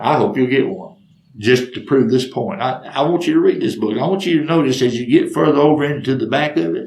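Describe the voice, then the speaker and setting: At a fairly quick pace, this man talks in a fairly high pitch. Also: ordinary pitch variation. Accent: Southern US. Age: 60s. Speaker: storyteller. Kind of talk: storytelling monologue.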